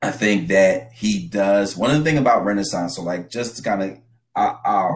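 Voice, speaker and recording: A man talks with an American accent. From Trenton, New Jersey. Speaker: music label executive. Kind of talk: casual chat.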